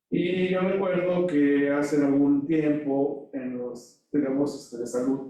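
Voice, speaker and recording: The voice has a dark, mellow tone and fairly even intonation. Room echo can be heard. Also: man. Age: 60s. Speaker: audience member asking a question. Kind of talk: audience question at a lecture.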